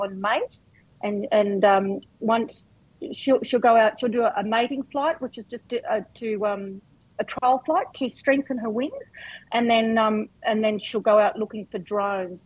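At a fairly slow pace, a woman talks in a fairly high pitch with a rural Australian accent. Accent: broad rural Australian. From rural New South Wales, Australia. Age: 50s. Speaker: farmer and hobby beekeeper. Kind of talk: casual interview chat.

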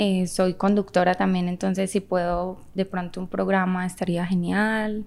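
A woman at a fairly slow pace with hardly any pauses, medium pitch and monotone, flat intonation, on a very clean recording with a silent background. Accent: Medellín Colombian. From Colombia, Medellín. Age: 30s. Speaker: actress and model. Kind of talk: casual chat.

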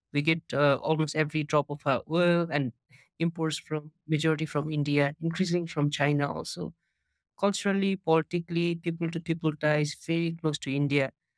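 With a Nepali accent, the speaker talks at a fairly quick pace in a monotone, flat way, and the sound is dry and close with no echo. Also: man, fairly high pitch for a man. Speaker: startup co-founder. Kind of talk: casual interview conversation. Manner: casual, filler-heavy.

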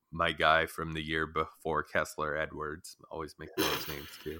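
A man with a very deep, low pitch and a bright, sharp tone speaks at a fairly slow pace on a very clean recording with a silent background. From Canada. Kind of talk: casual sports chat.

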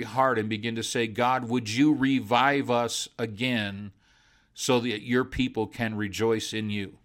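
On a very clean recording with a silent background, a man with a normal speaking voice talks at a medium pitch with ordinary pitch variation. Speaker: preacher. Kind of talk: sermon-style devotional talk with prayer. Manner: fervent, pleading, repetitive rhythm building in prayer; warm, conversational.

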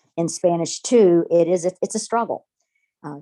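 Recorded dry and close with no echo, a woman speaks in a dark, mellow tone. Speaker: high school Spanish teacher. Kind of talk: interview.

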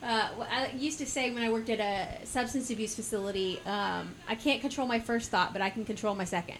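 Talking at a fairly quick pace with hardly any pauses, a woman with an American accent uses a fairly high pitch with ordinary variation. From US South, Georgia (Warner Robins). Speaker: podcast host and market vendor. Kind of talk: casual interview. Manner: talkative.

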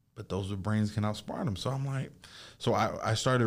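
A man speaks at a very fast pace. His voice is fairly low in pitch, with ordinary pitch variation. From Jamaica. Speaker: youth outreach worker. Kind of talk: casual chat.

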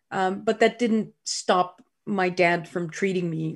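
A woman talks in a Dutch accent, her voice somewhat breathy. The recording is very clean, with a silent background. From Netherlands, Groningen. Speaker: scientist. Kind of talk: interview.

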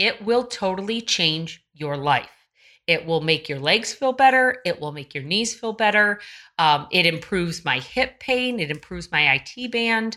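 A woman at medium pitch talks at a moderate pace in an animated, bright, sharp tone with very wide pitch swings. The recording is very clean, with a silent background. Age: 50s. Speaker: running coach. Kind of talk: casual solo podcast talk.

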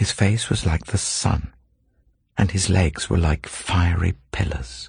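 A man's very deep, low-pitched voice with vocal fry. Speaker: scripture reader. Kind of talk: scripture reading, steady and solemn. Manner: even, measured, reverent.

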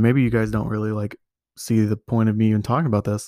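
This man is heard in a very clean recording with a silent background. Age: 20s. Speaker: podcast host, college student. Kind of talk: casual monologue. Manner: halting, many fillers.

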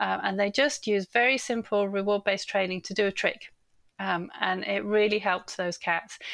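A woman with an English accent talks at a moderate pace, her medium pitch held in fairly even intonation. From England. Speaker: animal psychologist and author. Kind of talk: casual interview chat.

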